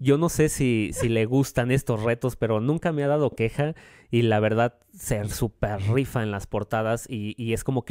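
Over a quiet background, a man speaks in a dark, mellow tone with fairly even intonation. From Mexico City. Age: 20s. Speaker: singer-songwriter; guest. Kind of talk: radio interview. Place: studio. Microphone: studio mic.

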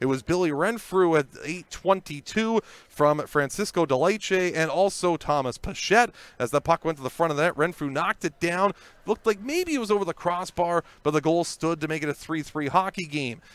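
An energetic-sounding man with a high pitch, ordinary pitch variation and a moderate pace, in a very clean, dry, close recording with no echo and a silent background. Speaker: hockey highlights narrator. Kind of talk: sports commentary, recapping game highlights over video. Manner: brisk, energetic play-by-play narration building to each goal; occasional stumbles and fillers while narrating.

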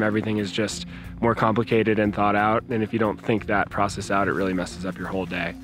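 A man at a fairly low pitch, talking at a very fast pace, dry with no echo, over clear music in the background. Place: open country.

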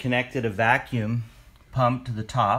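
A man is heard speaking at a moderate pace. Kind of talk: tutorial. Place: garage. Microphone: phone near.

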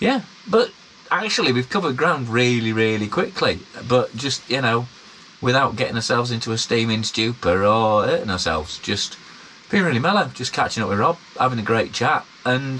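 A man talks at a fairly quick pace over light background noise. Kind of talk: casual vlog chat. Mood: relaxed, happy. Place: tunnel cave. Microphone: phone near.

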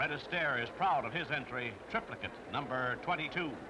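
There is noticeable noise in the background. A man speaks fairly slowly. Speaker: newsreel narrator. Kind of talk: newsreel narration.

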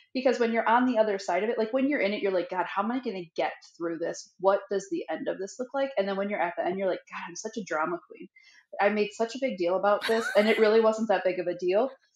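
The talking goes at a very fast pace with ordinary pitch variation. There is audible room echo, but the background is quiet. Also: woman. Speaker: podcast co-host. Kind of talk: casual podcast conversation. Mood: candid, self-deprecating, animated. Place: home room.

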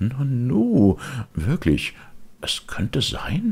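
Very slowly, a man does a put-on character voice with very wide pitch swings. His slightly mellow tone has a slightly husky edge and vocal fry. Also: medium pitch for a man.

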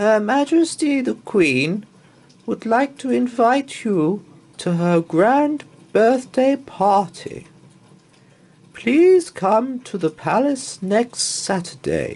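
A man puts on a character voice, pitched extremely high with big swings. The pace is slow and the tone slightly mellow.

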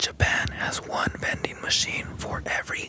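The man speaks in a whisper. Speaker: ASMR artist; ASMR creator. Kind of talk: ASMR sleep fact narration. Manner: whispered. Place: home room. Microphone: studio mic.

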